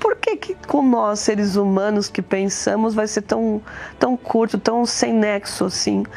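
Over noticeable background noise, a woman with a fairly high pitch speaks fairly slowly with fairly even intonation. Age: 50s. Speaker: lawyer giving church testimony. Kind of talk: testimony.

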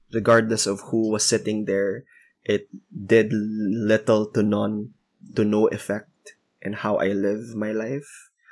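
A man talks at a very slow pace in a Visayan Filipino accent. His fairly low voice is monotone and flat. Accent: Filipino (Cebuano) English. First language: Cebuano. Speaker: podcast co-host. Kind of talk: casual chat.

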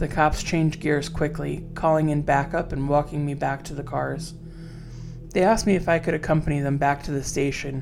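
Over music in the background, a woman speaks in a very deep, low pitch at a fairly quick pace. Her intonation is monotone and flat. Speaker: horror storyteller podcast host. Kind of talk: horror story narration, reading a listener's first-person account aloud.

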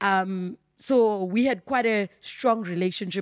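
With a plain, everyday voice, a woman of medium pitch talks at a fairly slow pace with fairly even intonation, in a dry, close sound with no echo and a very clean recording with a silent background. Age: 30s. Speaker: speech therapist and pastor. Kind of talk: casual interview.

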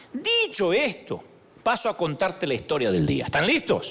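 A man talks in an animated tone. There is noticeable background noise. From Argentina. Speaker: pastor. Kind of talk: sermon. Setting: church.

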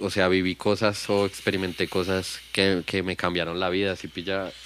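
Flat, monotone intonation from a man pitched fairly low. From Bogotá, Colombia (Kennedy). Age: 30s. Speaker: rapper. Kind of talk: casual chat.

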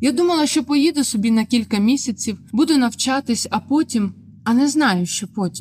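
A woman's high voice with lively intonation. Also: moderate pace. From southern Ukraine, Melitopol. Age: 20s. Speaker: journalism student and former TV channel worker. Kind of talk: personal testimony narration.

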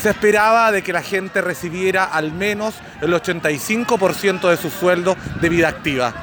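A man with a high pitch and ordinary pitch variation talks at a fairly slow pace over noticeable background noise. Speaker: documentary podcast maker and narrator. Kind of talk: scripted documentary narration.

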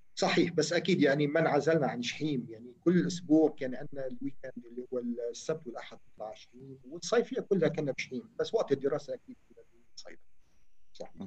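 A man's fairly high, somewhat breathy voice at a fairly quick pace, with lively intonation and big swings in loudness. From Lebanon, Chouf (Chhim, Sidon). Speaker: telecom engineer. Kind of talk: interview.

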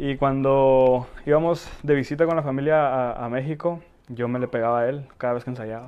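Fairly even intonation and a medium pitch mark this man's moderately paced speech. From Tijuana, Mexico (born in Ecatepec, moved at four). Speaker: accordion player and backing vocalist. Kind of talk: casual interview chat. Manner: halting, repeats words.

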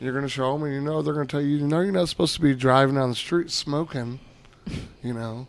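A man with an unremarkable speaking voice, medium in pitch. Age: 40s. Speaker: cannabis brand marketer. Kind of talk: casual chat.

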